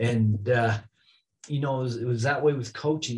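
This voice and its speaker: A man talks at a fairly quick pace with an American accent. His intonation stays fairly even. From northern Utah, Oakley; Utah. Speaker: high school athletic director; podcast guest. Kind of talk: interview. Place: office. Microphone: video call.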